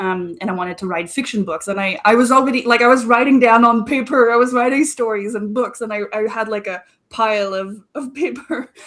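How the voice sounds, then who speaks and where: With a French Canadian accent, a woman talks at a fairly quick pace with hardly any pauses, a fairly high pitch and ordinary pitch variation. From Quebec, Canada. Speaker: marketing strategist. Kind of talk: interview.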